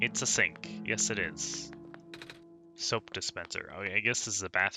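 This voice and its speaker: A man speaks with a very deep, low pitch and very wide pitch swings while music plays in the background. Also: moderate pace. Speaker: let's play gamer. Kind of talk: game commentary with read-aloud dialogue. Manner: casual.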